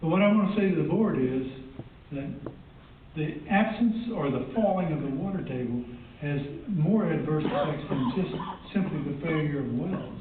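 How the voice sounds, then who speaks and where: A man with a Texan accent and a fairly high pitch speaks at a moderate pace with ordinary pitch variation. Audible room echo and noticeable background noise fill the recording. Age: 70s. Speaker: member of the public giving comment. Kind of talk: public hearing comment. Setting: public hearing.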